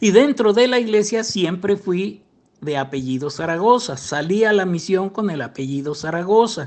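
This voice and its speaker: With a Mexican accent, a man talks in a high voice with lively intonation. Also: moderate pace. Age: 70s. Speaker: former church member telling his story. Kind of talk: personal testimony interview. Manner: hesitant with self-corrections.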